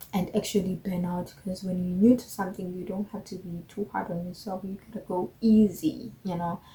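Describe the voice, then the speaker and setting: A woman speaks at a medium pitch with ordinary pitch variation and hardly any pauses. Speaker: beginner fashion vlogger. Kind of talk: casual vlog monologue. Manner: slow.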